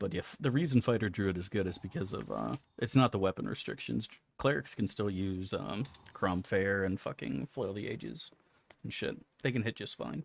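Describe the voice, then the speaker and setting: Moderate-paced speech with vocal fry and very wide pitch swings. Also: man, fairly low pitch for a man. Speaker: video game streamer. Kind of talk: casual gameplay commentary.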